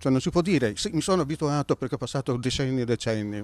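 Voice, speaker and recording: Speaking at a very fast pace with lively intonation, a man comes through in a dry sound with no echo. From Italy, Milan and Naso, Sicily; Italy. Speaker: businessman and author. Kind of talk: interview. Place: street. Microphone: handheld.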